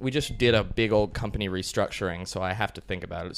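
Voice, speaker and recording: In an American accent, a man with a fairly low pitch speaks at a very fast pace with ordinary pitch variation. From US, Colorado. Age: 20s. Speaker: business owner and digital nomad. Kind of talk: casual interview.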